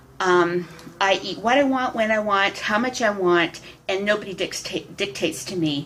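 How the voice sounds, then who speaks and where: Noticeable background noise accompanies the recording. The woman speaks with ordinary pitch variation. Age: 60s. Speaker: public speaker and vlogger. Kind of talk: personal vlog monologue. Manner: halting, with frequent fillers and repeats.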